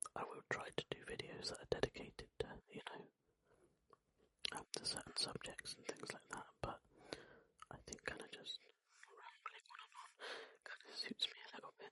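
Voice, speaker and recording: A whisper at a moderate pace. Long pauses come often. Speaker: ASMR creator. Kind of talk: ASMR whispered ramble chat. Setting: close microphone. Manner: whispered; rambling, relaxed.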